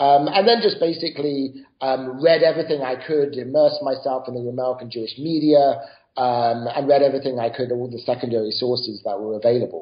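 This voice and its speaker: Hardly pausing, a man with a British accent talks at a fairly quick pace and medium pitch with ordinary pitch variation. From Britain. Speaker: author and professor. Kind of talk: interview.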